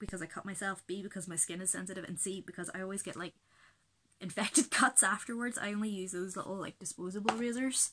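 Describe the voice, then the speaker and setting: Over light background noise, a woman with a Belfast accent speaks at a very fast pace in a bright, sharp tone with ordinary pitch variation. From Belfast, Northern Ireland. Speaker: beauty vlogger. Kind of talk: casual talk to camera. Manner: rambling, chatty. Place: home room. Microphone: webcam.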